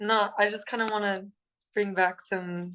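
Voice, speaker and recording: A woman with a Californian accent speaks at a very slow pace. Her voice has a medium pitch and a bright, sharp tone. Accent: General American, Californian. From California, Los Angeles. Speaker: singer in a rock band. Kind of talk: casual interview.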